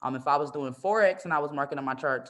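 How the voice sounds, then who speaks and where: The delivery is very fast. Its intonation is lively. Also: woman. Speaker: trading educator. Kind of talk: live-streamed tutorial. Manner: casual.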